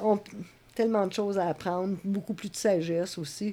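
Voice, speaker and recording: With a dark, mellow tone, a woman talks, her pitch varying in an ordinary way. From Quebec, Laval. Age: 60s. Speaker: community organizer. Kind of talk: interview.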